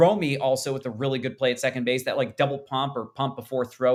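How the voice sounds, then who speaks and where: A man talks at a medium pitch. The background is silent and the recording very clean. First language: not English. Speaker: baseball podcast host. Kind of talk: casual sports chat.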